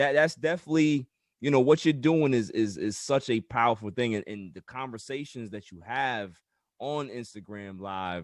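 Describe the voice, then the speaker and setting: With a normal speaking voice at a medium pitch, the man talks at a moderate pace, his intonation lively and his loudness swinging widely over a quiet background. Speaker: podcast host. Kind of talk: casual podcast talk.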